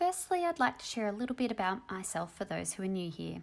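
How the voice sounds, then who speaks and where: With an Australian accent, a woman talks at a fairly quick pace in a medium pitch. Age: 30s. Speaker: doctor and personal finance youtuber. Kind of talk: personal vlog monologue.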